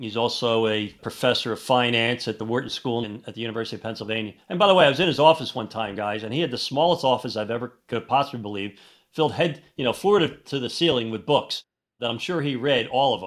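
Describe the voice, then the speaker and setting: Talking very fast, a man with a medium-pitched voice and ordinary pitch variation is heard in a very clean recording with a silent background. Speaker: financial advisor podcast host. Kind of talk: casual chat.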